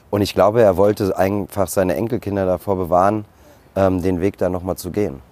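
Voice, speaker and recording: A man speaks in a normal speaking voice at a fairly low pitch. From Germany, Frankfurt. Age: 40s. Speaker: restaurateur. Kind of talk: interview. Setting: outdoors.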